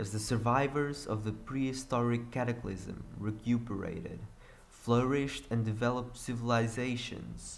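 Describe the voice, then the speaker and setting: In a Portuguese accent, a man speaks at a medium pitch with fairly even intonation and audible room echo. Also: moderate pace. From Portugal. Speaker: gaming youtuber. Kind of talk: reading aloud.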